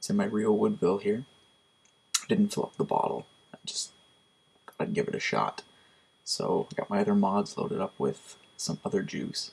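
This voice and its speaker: A man speaks quietly, leaving long, frequent pauses. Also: moderate pace. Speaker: product reviewer. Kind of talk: casual product review. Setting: at home at night. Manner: quiet, hushed. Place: home room. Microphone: webcam.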